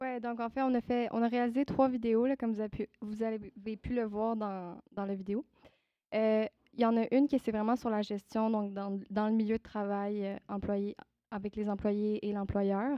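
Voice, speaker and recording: The woman speaks at a moderate pace in a fairly high pitch, her intonation monotone and flat. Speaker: youth project presenter. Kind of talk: public presentation. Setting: event with live audience. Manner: hesitant.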